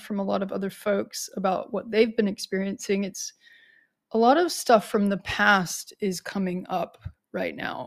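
A woman with a plain, everyday voice speaks at medium pitch and a fairly slow pace, her intonation fairly even, on a very clean recording with a silent background. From United States. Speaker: astrologer podcast host. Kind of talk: solo podcast monologue. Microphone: new upgraded microphone.

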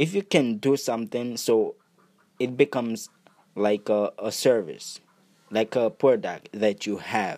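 Fairly slow speech from a man at medium pitch, ordinary pitch variation, long and frequent pauses, in a very clean, silent, dry and close recording with no echo. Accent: Haitian. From Haiti. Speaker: podcast host, entrepreneur and music producer. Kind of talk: motivational monologue.

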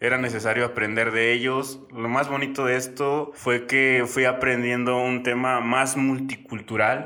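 Over noticeable background noise, a man talks at a fairly slow pace in a monotone with flat intonation and very even loudness. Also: medium pitch for a man, hardly any pauses. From Mexico, Guanajuato. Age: 30s. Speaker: cycling traveler. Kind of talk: interview storytelling.

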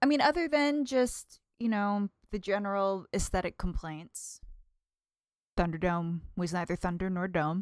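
A woman with a Midwestern American accent speaks at a medium pitch and a fairly slow pace. The recording is very clean, with a silent background and a dry, close sound with no echo. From US Midwest, northern Indiana. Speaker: podcast guest, host's girlfriend. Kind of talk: casual chat. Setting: home living room.

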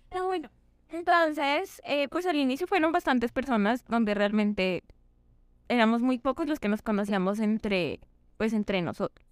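In a very clean recording with a silent background, a woman's high voice moves through very wide pitch swings. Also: moderate pace, very even loudness. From Colombia, Ipiales (Nariño). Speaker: medical student. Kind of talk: casual chat.

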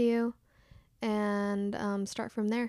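A woman with an American accent speaks very slowly in a monotone, flat way, at a fairly high pitch with a dark, mellow tone. The sound is dry and close with no echo, on a very clean recording with a silent background. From Utah. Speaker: tattoo artist. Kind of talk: casual chat. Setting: at the host's house.

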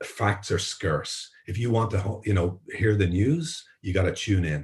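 Against a quiet background, a man with an Irish accent speaks in a somewhat breathy voice with ordinary pitch variation. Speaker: journalist and tech entrepreneur. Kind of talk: interview.

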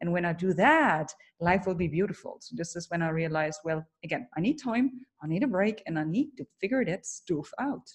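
A woman talks at a fairly quick pace with lively intonation. Her fairly low voice is somewhat breathy. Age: 30s. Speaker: keynote speaker and coach. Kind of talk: interview. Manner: animated.

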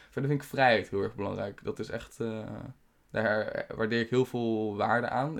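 A relaxed, medium-pitched male voice at a moderate pace with fairly even intonation. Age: 20s. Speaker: podcast host. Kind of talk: casual solo monologue. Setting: home studio, on camera. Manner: relaxed, halting with many fillers. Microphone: new microphone.

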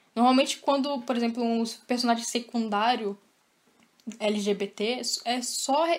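A woman with a fairly high-pitched voice talks at a moderate speed, her pitch moving in an ordinary way. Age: 20s. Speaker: podcast guest, listener. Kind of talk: casual chat.

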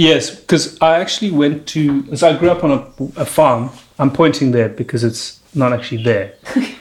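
A man's ordinary speaking voice, fairly high in pitch, with ordinary pitch variation at a moderate pace. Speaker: podcast host and comedian. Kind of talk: casual interview chat. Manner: joking, playful.

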